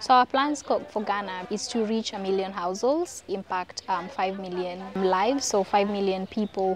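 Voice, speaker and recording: A woman at a moderate pace, in a dry sound with no echo and noticeable background noise. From Kenya, Nairobi; Kenya. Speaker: social enterprise founder. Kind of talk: documentary interview. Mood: warm, upbeat. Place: open country.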